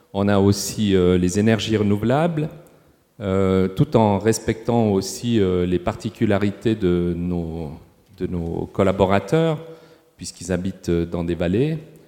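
Over noticeable background noise, a man speaks very slowly at a fairly low pitch with ordinary pitch variation. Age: 60s. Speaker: hospital sustainability manager. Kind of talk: panel discussion. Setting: stage with audience.

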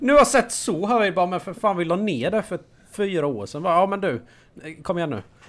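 A very fast-talking man with a high pitch and lively intonation, on a very clean recording with a silent background. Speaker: guest co-host. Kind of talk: casual chat.

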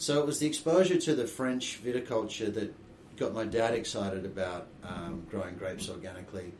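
Fairly quickly and with very wide pitch swings, a man with an Australian accent speaks at medium pitch amid audible room echo. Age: young. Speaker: winegrower. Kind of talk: interview.

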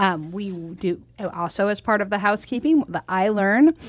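With a plain, everyday voice, a woman at medium pitch uses lively intonation, recorded with a dry, close sound with no echo against a quiet background. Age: 40s. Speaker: radio host and nonprofit founder. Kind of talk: casual chat.

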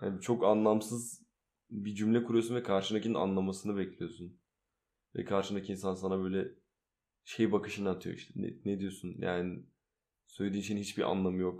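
Dark and mellow in tone, a man speaks at a moderate pace with a fairly low pitch and monotone, flat intonation on a very clean recording with a silent background. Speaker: musician. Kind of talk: casual chat. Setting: home recording at night. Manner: loud.

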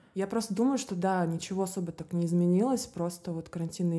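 A woman's fairly low-pitched voice with a dark, mellow tone. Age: 20s. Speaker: fashion model. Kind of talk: casual interview chat.

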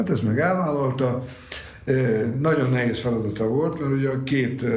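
A man speaks at a medium pitch and a fairly slow pace, with audible room echo and noticeable background noise. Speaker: university lecturer and Italy expert. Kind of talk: interview.

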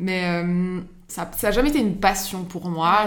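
A woman talks with fairly even intonation in a room with audible echo. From Switzerland, Geneva. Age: 30s. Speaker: social media manager and interior design blogger. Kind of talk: casual chat. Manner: halting, many fillers.

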